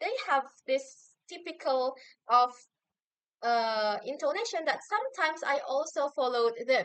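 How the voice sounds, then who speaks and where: The speaker has a strong Javanese accent. The pace is fairly slow. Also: woman. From Indonesia, Javanese community. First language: Javanese or Indonesian. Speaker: university student. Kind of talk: recorded assignment answer video. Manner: hesitant with fillers.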